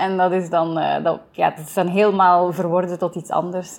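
Her voice is medium in pitch, with a dark, mellow tone. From Flanders, Belgium (Kluizen, East Flanders). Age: 20s. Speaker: theatre director. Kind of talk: interview. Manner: hesitant, many fillers.

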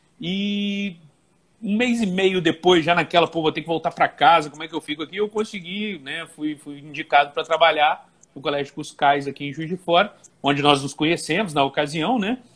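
The man speaks at a moderate pace with ordinary pitch variation. His loudness swings widely. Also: fairly high pitch for a man. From Brazil, Volta Redonda, Rio de Janeiro state. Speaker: Portuguese teacher for civil service exam prep. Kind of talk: casual interview. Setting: Instagram live video call.

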